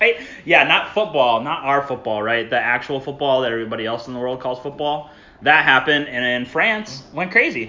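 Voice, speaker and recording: Over noticeable background noise, a man talks at medium pitch with ordinary pitch variation. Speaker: podcast host. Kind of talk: casual chat.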